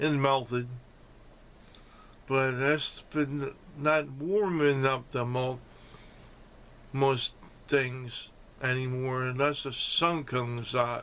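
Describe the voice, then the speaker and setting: With noticeable background noise, a man at medium pitch speaks at a very slow pace with fairly even intonation and long, frequent pauses. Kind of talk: casual talk to camera. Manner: slurred speech after a stroke.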